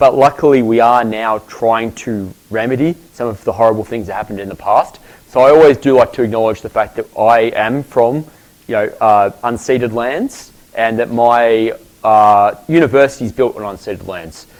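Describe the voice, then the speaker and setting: A man speaks with an Australian accent at medium pitch. His pace is moderate, with ordinary pitch variation. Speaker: professor. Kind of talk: lecture.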